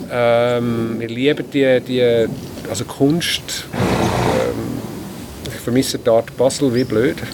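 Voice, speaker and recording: Very slow speech with ordinary pitch variation over noticeable background noise. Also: man, medium pitch for a man. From Switzerland, canton Zurich. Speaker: farmer. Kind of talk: interview. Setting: on a farm.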